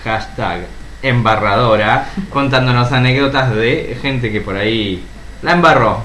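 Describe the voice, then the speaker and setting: Male voice at a medium pitch, noticeable background noise and audible room echo around it. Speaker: podcast co-host. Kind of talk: casual chat.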